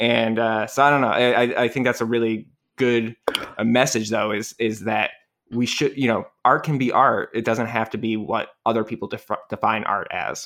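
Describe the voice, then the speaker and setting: Using a plain, everyday voice, a man of medium pitch keeps a moderate pace and fairly even intonation. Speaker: podcast co-host. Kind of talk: casual chat.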